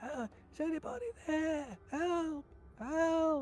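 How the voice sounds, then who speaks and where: A squeaky, high-pitched put-on character voice at a fairly slow pace, with clear background noise. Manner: distressed, calling out.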